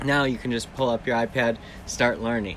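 A man with a medium pitch. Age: 30s. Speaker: podcast host. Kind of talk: casual solo talk. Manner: rambling, halting.

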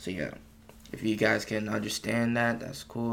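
Pitch varies in an ordinary way as the speech runs at a moderate pace. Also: man. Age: young. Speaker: podcast host. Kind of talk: solo casual monologue. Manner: casual, hesitant with many fillers.

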